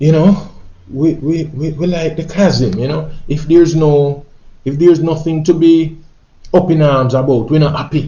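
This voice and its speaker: Pausing long and often, a man speaks fairly slowly at a fairly high pitch with fairly even intonation. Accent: Jamaican. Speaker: reggae singer. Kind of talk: spoken monologue, social commentary.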